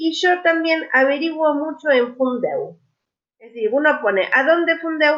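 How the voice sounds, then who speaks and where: Her voice high for a woman, she talks at a fairly slow pace with lively intonation and big swings in loudness. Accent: Argentine. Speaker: language teacher. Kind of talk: online lecture.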